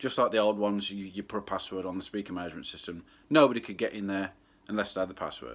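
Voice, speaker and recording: This man speaks very fast in a fairly low voice with ordinary pitch variation. The recording is very clean, with a silent background. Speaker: club DJ. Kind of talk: casual vlog monologue. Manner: loud.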